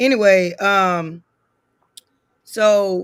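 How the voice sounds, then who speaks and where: The speaker is a woman with medium pitch. Her pitch variation is ordinary. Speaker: DJ. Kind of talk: casual chat.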